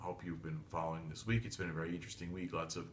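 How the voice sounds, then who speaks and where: This man speaks with lively intonation. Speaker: tarot reader / psychic. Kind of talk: solo video monologue (daily tarot reading). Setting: home reading desk, filmed video. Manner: fast; blunt.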